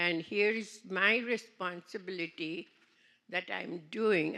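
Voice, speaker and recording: On a very clean recording with a silent background, a woman speaks very slowly at a medium pitch, her tone bright and sharp and her intonation fairly even. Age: 80s+. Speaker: seminar participant. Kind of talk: testimony.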